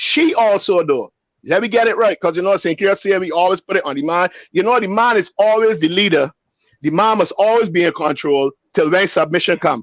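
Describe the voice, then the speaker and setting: A man talks loudly at a moderate pace. His pitch is high. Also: dry, close sound with no echo. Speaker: pastor. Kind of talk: panel discussion. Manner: animated.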